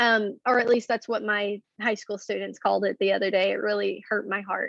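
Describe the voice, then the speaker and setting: Speaking fairly quickly, a woman talks in a Southern US accent. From Arkansas, Hot Springs. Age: 20s. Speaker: teacher. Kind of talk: classroom lecture. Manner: casual, with many fillers.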